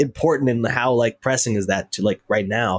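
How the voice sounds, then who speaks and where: Using an ordinary speaking voice, a man with an American accent talks fairly quickly at a medium pitch with ordinary pitch variation and a dry, close sound with no echo. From North Carolina, US South. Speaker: musician. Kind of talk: casual chat.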